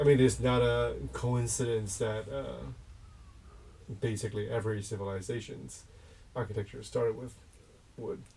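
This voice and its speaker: Noticeable background noise and audible room echo surround a man. He leaves long, frequent pauses. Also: moderate pace. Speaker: host, designer and architect. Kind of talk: casual conversation. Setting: mobile tea house.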